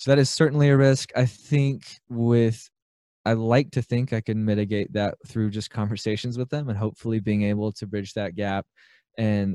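A man with an American accent speaks at a moderate pace in a fairly low voice with a dark, mellow tone and fairly even intonation. The sound is dry and close with no echo, over a quiet background. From US South, Birmingham, Alabama. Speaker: aspiring business buyer, small business owner. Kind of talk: interview. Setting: remote call with good audio gear.

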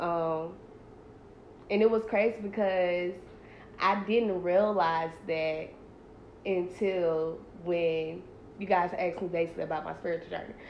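A woman talks at a fairly slow pace, leaving long, frequent pauses. Her intonation is fairly even, and room echo is audible. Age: 20s. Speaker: podcast host, college student. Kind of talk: casual chat.

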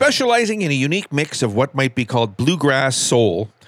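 Upbeat and animated, a man talks at a fairly quick pace with lively intonation and a fairly high pitch. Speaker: radio host. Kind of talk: radio dj patter, music show intros and quirky news items. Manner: upbeat, polished, animated announcer delivery.

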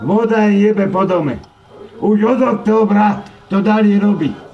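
Audible room echo and noticeable background noise surround the recording. A man with a high pitch speaks at a fairly slow pace. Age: 50s. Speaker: angry tenant. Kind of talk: angry rant. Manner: loud.

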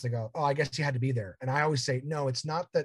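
A man's voice, somewhat breathy, sits at a medium pitch. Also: very clean recording, silent background. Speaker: comedian and podcaster. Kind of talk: casual interview chat.

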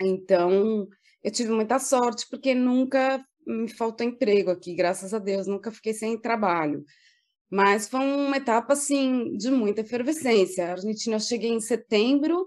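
Against a quiet background, a woman with an unremarkable speaking voice talks at a fairly slow pace, her fairly high pitch showing ordinary pitch variation. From Brazil, São Paulo. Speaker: public relations professional. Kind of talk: casual interview.

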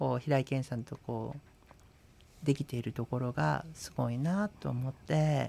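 With lively intonation and a fairly slow pace, a man speaks in an ordinary speaking voice. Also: medium pitch for a man. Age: 40s. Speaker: Buddhist priest and radio co-host. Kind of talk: casual radio talk.

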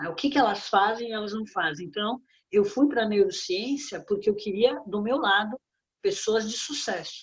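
Somewhat breathy and fairly high, a woman's voice moves at a moderate pace with ordinary pitch variation. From Brazil, São Paulo. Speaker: business consultant and author. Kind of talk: interview. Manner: animated.

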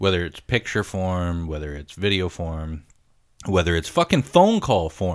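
With a very deep, low pitch, a man speaks in an animated tone at a moderate pace, using ordinary pitch variation and big swings in loudness on a very clean recording with a silent background. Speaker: podcast host. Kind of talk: casual chat.

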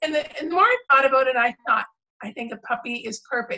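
The voice is raised and projected, bright and sharp in tone, with ordinary pitch variation. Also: woman. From Canada. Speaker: author. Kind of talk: casual interview chat. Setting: video call. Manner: enthusiastic.

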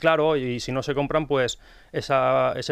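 Against a quiet background, a man with a plain, everyday voice and fairly high pitch talks at a moderate pace. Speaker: pharmacist and book author. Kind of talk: radio interview. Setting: radio studio.

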